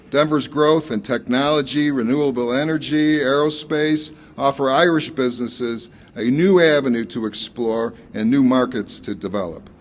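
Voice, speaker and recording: A man with an American accent has a plain, everyday voice and a fairly high pitch. He keeps a moderate pace with ordinary pitch variation. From United States. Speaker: airline executive. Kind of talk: prepared speech at press event.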